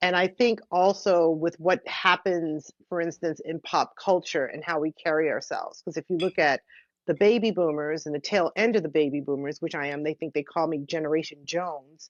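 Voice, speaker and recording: Speaking with an American accent at a moderate pace, this voice has ordinary pitch variation and hardly any pauses. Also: woman, fairly low pitch for a woman. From Mount Vernon, New York, US. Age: 60s. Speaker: musician and cancer survivor. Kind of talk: interview conversation. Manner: halting.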